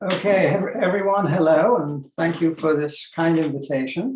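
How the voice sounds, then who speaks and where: Here a man speaks with high pitch at a moderate pace. His pitch variation is ordinary. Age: 70s. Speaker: physicist. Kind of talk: lecture.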